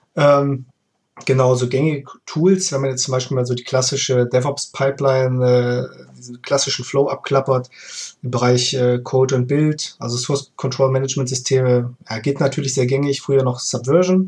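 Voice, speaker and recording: There is some breathiness in the voice. Pitch movement stays fairly level. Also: man, medium pitch for a man, moderate pace. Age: 30s. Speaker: freelance DevOps engineer. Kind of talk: casual chat.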